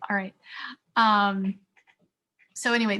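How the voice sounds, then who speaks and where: This woman speaks at a moderate pace and medium pitch, with a bright, sharp tone and fairly even intonation, on a very clean recording with a silent background. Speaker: teacher. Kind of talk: lecture.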